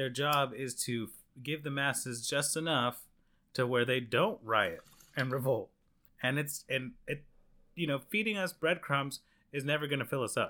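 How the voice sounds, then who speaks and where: On a very clean recording with a silent background, a voice with a bright, sharp tone speaks at a moderate pace with ordinary pitch variation. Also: man, fairly high pitch for a man. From Venezuelan heritage. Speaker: podcast host. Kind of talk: casual chat.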